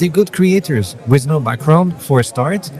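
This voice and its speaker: A man's intonation is lively, and noticeable noise runs in the background. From Belgium. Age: 30s. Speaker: photographer. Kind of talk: interview. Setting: trade show.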